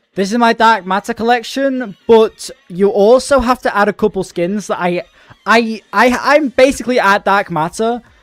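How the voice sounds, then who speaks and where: A man speaks with a British accent in a high voice, at a moderate pace and with ordinary pitch variation. The sound is dry and close with no echo, and music plays in the background. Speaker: gaming streamer. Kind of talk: casual live-stream chat while gaming. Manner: casual, slangy.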